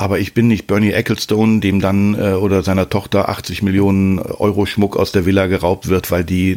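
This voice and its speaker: A man's very deep, low voice, fairly quick in pace, with fairly even intonation. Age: 50s. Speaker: father using Instagram. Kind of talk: interview.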